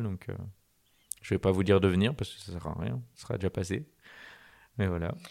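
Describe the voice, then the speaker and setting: On a very clean recording with a silent background, a man with a very deep, low pitch and dark, mellow tone speaks at a fairly quick pace. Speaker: podcast host. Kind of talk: interview.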